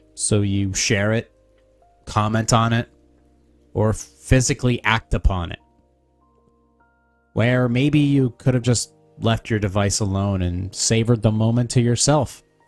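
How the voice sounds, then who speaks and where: A soft-spoken man talks with long, frequent pauses while music plays in the background. The sound is dry and close, with no echo. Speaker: podcaster. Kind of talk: reading aloud.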